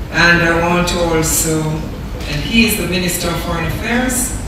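Through strong room echo and noticeable background noise, a woman speaks at a very slow pace. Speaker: keynote speaker. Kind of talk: formal speech. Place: hall.

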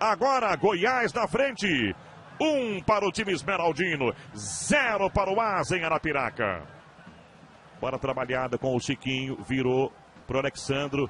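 A man's fairly high-pitched voice at a fairly slow pace, with very wide pitch swings over noticeable background noise. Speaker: football commentator. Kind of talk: live sports commentary. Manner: animated, emphatic goal calls.

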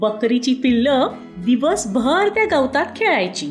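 Very wide pitch swings over music playing in the background. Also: woman, high pitch for a woman. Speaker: voice over artist. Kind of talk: children's bedtime story narration.

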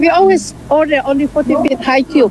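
Speaking at a moderate pace in an Indonesian accent, a woman has a high pitch, and the dry sound has no echo but noticeable background noise. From Indonesia (West Sumatra). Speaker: entrepreneur, importer. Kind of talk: interview; interview answer. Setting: outdoors at a festival. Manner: hesitant, with fillers. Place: market. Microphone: video call.

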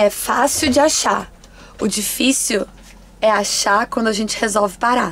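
Speaking at a fairly slow pace, a woman lets her pitch vary in an ordinary way. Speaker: travel vlogger living in a bus. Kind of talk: casual vlog chat. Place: bus. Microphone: phone near.

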